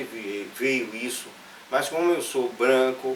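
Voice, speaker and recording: A man talks at a very slow pace in a medium pitch. There is noticeable background noise and audible room echo. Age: 60s. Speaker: journalist and professor. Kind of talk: interview. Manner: halting, many fillers and restarts.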